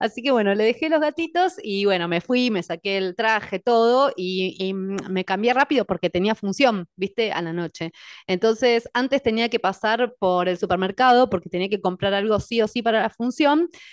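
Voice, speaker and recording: Against a quiet background, a woman with an ordinary speaking voice and fairly high pitch speaks at a moderate pace with lively intonation and hardly any pauses, in a dry, close sound with no echo. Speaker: podcast host and coach. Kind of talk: casual interview.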